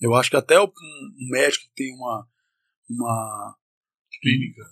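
A man's voice, dry and close with no echo. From Northern Minas Gerais, Brazil (Montes Claros). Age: 40s. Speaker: chef and entrepreneur. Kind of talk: casual chat. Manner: interrupts often.

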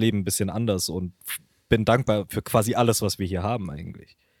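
A man with a plain, everyday voice, fairly low in pitch and fairly quick, in a very clean recording with a silent background and a dry, close sound with no echo. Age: 20s. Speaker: podcast host, author and marketing strategist. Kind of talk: casual chat.

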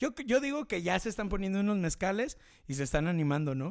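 Over a silent background in a very clean recording, a man speaks with a Mexican accent. His intonation is lively and his pace moderate. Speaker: podcast host and DJ. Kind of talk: casual live show chat. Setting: home studio, live stream.

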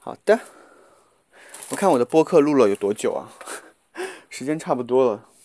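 A man with a fairly high pitch speaks at a moderate pace with lively intonation and big swings in loudness. Long, frequent pauses break up the dry, close sound with no echo. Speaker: podcast host. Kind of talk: casual vlog-style monologue while cooking. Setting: walking outdoors to and from supermarket. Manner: casual, with many fillers. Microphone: muffled by face mask.

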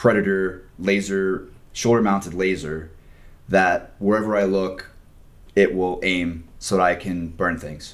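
Speaking fairly slowly in a very deep, low pitch, a man keeps a monotone, flat intonation, with audible room echo. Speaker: YouTube creator and engineering student. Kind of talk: casual chat.

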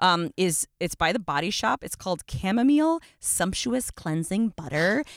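Her medium-pitched voice swings very widely in pitch, at a moderate pace with hardly any pauses. The woman's sound is dry and close, with no echo. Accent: American. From Buffalo, US Rust Belt. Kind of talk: casual chat. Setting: in a car.

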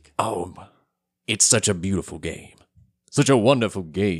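A man's raspy, put-on character voice, fairly low in pitch, with ordinary pitch variation at a moderate pace. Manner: reverent, awed, gushing.

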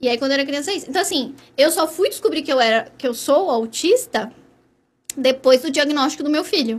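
A woman with a high pitch, lively intonation and a fairly quick pace. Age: 30s. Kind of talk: interview.

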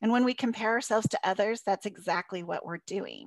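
A woman talks at a fairly quick pace in a normal speaking voice, her medium pitch showing ordinary variation. The sound is dry and close, with no echo. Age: 50s. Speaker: life coach and podcast co-host. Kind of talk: conversational podcast discussion.

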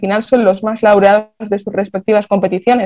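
A woman's dark, mellow tone in a northern Spanish accent. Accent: Castilian Spanish (northern Spain). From Spain, Basque Country (Vitoria). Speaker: football analyst. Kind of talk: casual chat.

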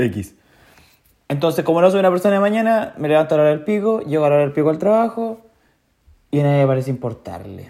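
A man with a Chilean accent, a fairly high pitch and a dark, mellow tone, very wide pitch swings, a very fast pace and long, frequent pauses. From Chile, Chillán. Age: 20s. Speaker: podcaster. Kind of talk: casual monologue. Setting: alone at home.

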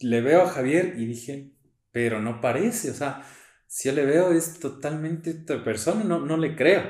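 With audible room echo, a man speaks at a fairly slow pace and fairly high pitch, his intonation lively. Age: 20s. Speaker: church youth leader. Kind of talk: testimony.

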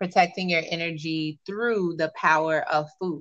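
Her fairly low voice carries fairly even intonation as the woman speaks. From US South, Miami, Florida. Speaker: meditation and life coach. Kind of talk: casual interview chat.

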